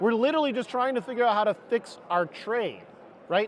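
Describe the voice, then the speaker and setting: Against noticeable background noise, a man with a high pitch talks at a fairly quick pace. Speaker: HVAC industry panelist. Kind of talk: panel discussion. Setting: trade show floor panel, miked up.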